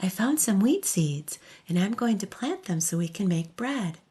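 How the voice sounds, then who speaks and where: A soft-spoken, somewhat breathy voice with a dark, mellow, soothing tone and lively intonation, at a very slow pace over a quiet background. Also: woman. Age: old. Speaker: storyteller. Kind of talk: bedtime story. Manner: soft-spoken, soothing.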